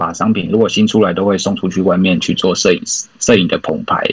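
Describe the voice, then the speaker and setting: A man talking at a fairly quick pace. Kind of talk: podcast interview.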